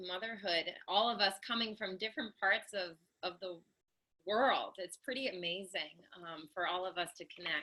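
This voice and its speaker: Loud and bright with a sharp tone, a woman talks at a moderate pace with ordinary pitch variation. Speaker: motherhood coach and speaker. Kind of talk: online panel talk. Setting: live stream video call. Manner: speaking loudly.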